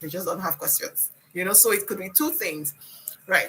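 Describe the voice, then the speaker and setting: A woman with a non-native accent speaks in a bright, sharp tone. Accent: has a foreign. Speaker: instructor. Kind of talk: one-on-one presentation coaching. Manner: fast; repetitive, halting restarts.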